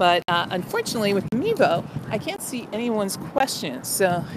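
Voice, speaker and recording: A woman's voice, dry with no echo, over loud background noise. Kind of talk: casual vlog chat. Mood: cheerful. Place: street. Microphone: phone near.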